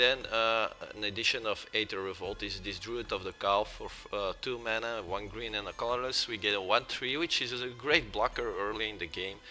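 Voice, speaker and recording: With a non-native accent, a man speaks at a moderate pace in fairly even intonation, with hardly any pauses. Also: medium pitch for a man. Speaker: gaming youtuber. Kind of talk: tutorial. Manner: hesitant, many fillers.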